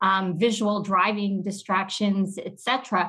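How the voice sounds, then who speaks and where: Medium pitch and a somewhat breathy quality in a woman's voice. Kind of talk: interview.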